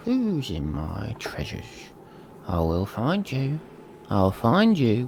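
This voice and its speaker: A man puts on a character voice at a medium pitch, moving at a fairly slow pace with long, frequent pauses. Clear background noise runs behind him. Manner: menacing, gloating.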